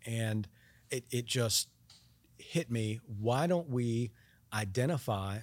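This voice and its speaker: The recording is very clean with a silent background, and the voice shows ordinary pitch variation. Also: man. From North Carolina, mill town. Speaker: state supreme court justice. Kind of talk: interview. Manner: halting, many fillers.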